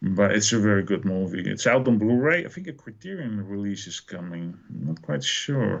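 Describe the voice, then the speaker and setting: Lively intonation marks this moderate-paced delivery in a Dutch accent, with hardly any pauses. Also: man, fairly low pitch for a man. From Netherlands. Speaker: film fan podcast guest. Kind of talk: casual chat.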